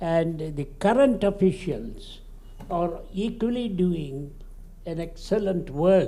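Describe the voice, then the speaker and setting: A man speaks very slowly in a high pitch with ordinary pitch variation and a dark, mellow tone. Audible room echo surrounds his voice. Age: 80s+. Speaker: senior dignitary at conference. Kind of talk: ceremonial speech. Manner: halting.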